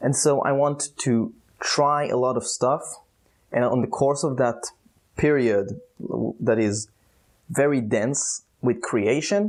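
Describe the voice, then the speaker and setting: A man with an Israeli accent speaks at a very slow pace with long, frequent pauses. His medium pitch shows ordinary variation, and his loudness stays very even. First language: Hebrew. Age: 20s. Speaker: youtuber. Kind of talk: vlog monologue. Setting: outdoors. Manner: halting.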